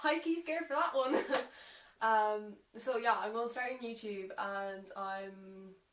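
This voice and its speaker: Her pitch fairly high, the woman takes a fairly slow pace. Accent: Irish. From Ireland. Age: young. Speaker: social media content creator. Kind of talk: casual talk to camera. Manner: unscripted, hesitant.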